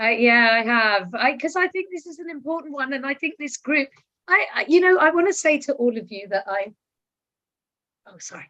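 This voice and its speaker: A woman's raised, projected voice at a high pitch, with a bright, sharp tone, very wide pitch swings, big swings in loudness and a moderate pace. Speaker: book discussion guest. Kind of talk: video call discussion. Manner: halting.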